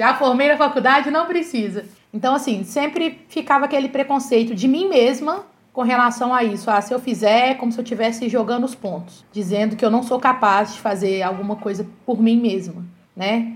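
A woman's high-pitched voice, with ordinary pitch variation, moves along at a moderate pace. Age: 30s. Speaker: physical education teacher. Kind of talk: casual chat.

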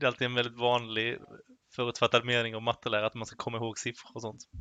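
A man at a very fast pace, medium in pitch, with monotone, flat intonation. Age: 20s. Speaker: high school maths and physics teacher. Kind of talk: casual conversation.

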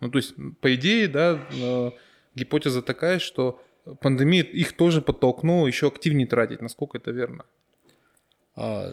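A man at fairly high pitch, moderate pace with long, frequent pauses, ordinary pitch variation, and a very clean recording with a silent background. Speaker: podcast host. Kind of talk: interview, podcast conversation.

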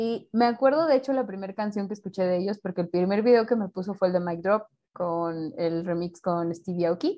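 Speaking fairly quickly in a plain, everyday voice, a woman keeps a medium pitch with ordinary pitch variation. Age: 30s. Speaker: criminologist, podcast co-host. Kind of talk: casual chat.

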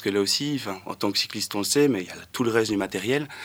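A man talks at a moderate pace with fairly even intonation in a very clean recording with a silent background. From Wallonia, Belgium (between Charleroi and Nivelles). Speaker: cargo bike logistics worker. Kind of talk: radio panel discussion. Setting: radio studio. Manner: quiet, hard to hear.

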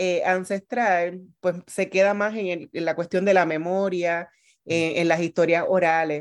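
An unremarkable speaking voice from a woman, medium in pitch, with fairly even intonation and a fairly slow pace. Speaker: radio host. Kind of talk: interview; scripted introduction.

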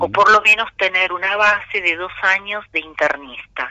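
A woman with a normal speaking voice talks at a fairly slow pace in a medium pitch. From Argentina. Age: 50s. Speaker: cardiologist. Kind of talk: radio interview. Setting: phone call.

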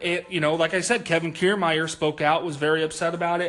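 Noticeable background noise surrounds a man whose voice is high-pitched. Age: 20s. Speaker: sports podcast co-host. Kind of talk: casual chat.

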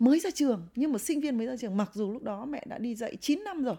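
A dark, mellow tone at a fairly quick pace, with very wide pitch swings. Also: woman. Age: 50s. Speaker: professor, host's mother. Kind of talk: casual interview, personal storytelling.

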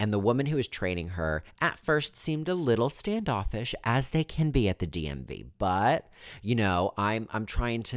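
On a very clean recording with a silent background, a man talks with very wide pitch swings. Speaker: podcast host, unemployed journalist. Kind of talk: casual solo monologue. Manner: filler-heavy, repetitive.

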